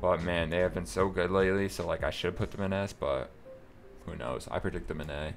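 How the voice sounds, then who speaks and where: A man with a very deep, low voice speaks at a fairly quick pace with ordinary pitch variation while music plays in the background. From North America. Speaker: gaming content creator. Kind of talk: casual talk to camera.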